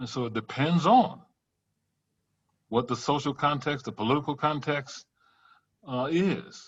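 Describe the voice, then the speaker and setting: A man with a Louisiana accent, somewhat breathy and fairly high-pitched, at a fairly slow pace with ordinary pitch variation and long, frequent pauses. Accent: Southern US, Louisiana. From US South, Louisiana bayou country. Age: 60s. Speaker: professor. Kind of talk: workshop Q&A.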